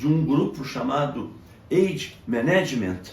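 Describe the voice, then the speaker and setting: With audible room echo around him, a man talks at a fairly high pitch with lively intonation. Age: 70s. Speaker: medical doctor. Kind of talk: educational monologue. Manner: formal.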